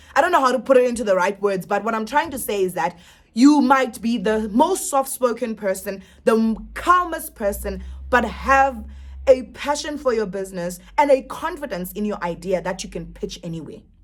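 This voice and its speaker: A woman speaks with a fairly high pitch and lively intonation at a moderate pace. Her loudness swings widely, and there is noticeable background noise. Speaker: business coach and YouTuber. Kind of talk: advice vlog. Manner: animated.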